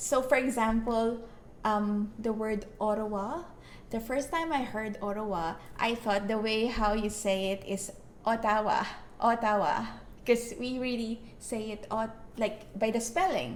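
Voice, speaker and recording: A woman's fairly high voice at a fairly slow pace, with ordinary pitch variation and audible room echo. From Philippines. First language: Filipino (Tagalog). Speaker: vlogger. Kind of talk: casual chat.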